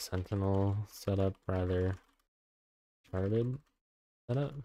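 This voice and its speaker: A quiet man with a very deep, low pitch and a dark, mellow tone, talking at a very slow pace on a very clean recording with a silent background. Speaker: software developer streamer. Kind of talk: live coding stream. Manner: quiet, low.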